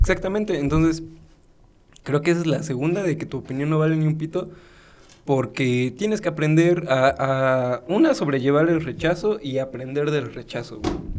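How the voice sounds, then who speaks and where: His pitch fairly high and ordinary in its variation, a man talks at a moderate pace. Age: 20s. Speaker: podcast co-host. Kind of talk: casual chat. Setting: birthday party at home.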